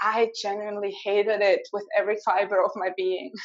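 A woman with a German accent and lively intonation. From Switzerland. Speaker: mindset coach. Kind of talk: interview.

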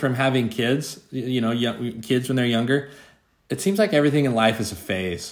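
Medium pitch and a moderate pace from a man, an ordinary speaking voice. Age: 40s. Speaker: podcast co-host. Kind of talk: casual chat.

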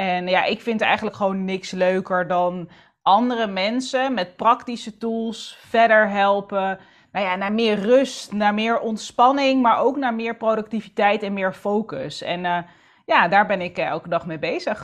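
Against a quiet background, a woman at a medium pitch talks at a fairly slow pace in a plain, everyday voice with ordinary pitch variation. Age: 30s. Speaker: entrepreneur and author on planning and structure. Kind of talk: casual interview chat.

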